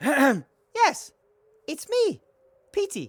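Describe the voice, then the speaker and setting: A put-on character voice, high in pitch. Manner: funny put-on voice.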